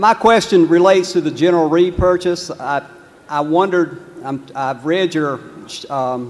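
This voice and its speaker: A man's high pitch with a Southern US accent, over noticeable background noise. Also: ordinary pitch variation, moderate pace. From US South, North Carolina. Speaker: shareholder asking a question. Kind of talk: audience question. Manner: halting.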